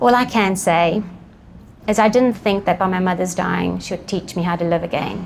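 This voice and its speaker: A woman's fairly low voice at a fairly quick pace, with noticeable background noise. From South Africa. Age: 40s. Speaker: eating disorder advocate and peer mentor. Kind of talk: personal testimony talk.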